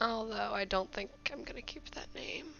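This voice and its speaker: A woman's voice with music in the background. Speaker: digital artist. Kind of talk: casual speed-paint commentary. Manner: hesitant, casual.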